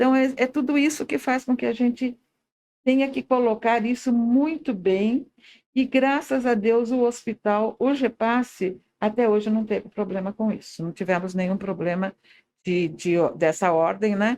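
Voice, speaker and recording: A woman is speaking. Her voice is fairly high-pitched with a dark, mellow tone. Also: lively intonation, fairly slow pace. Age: 80s+. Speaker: hospital president, volunteer. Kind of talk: interview. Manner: halting.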